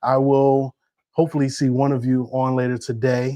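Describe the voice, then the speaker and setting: This man has an American accent and a medium pitch. His tone is dark and mellow against a quiet background. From upstate New York. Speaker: real estate agent. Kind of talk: livestream market update. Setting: livestream. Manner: casual, conversational.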